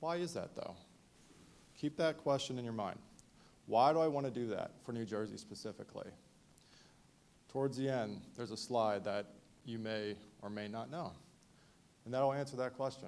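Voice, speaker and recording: Speaking at a moderate pace with long, frequent pauses, a man with a medium-pitched voice uses ordinary pitch variation. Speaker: event presenter on veteran awareness. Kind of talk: presentation to audience. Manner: loud.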